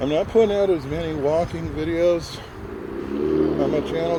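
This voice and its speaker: A man keeps a moderate pace while audible room echo and noticeable background noise surround his voice. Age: 60s. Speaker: walking vlogger. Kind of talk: casual vlog narration. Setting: outdoors on a walking trail.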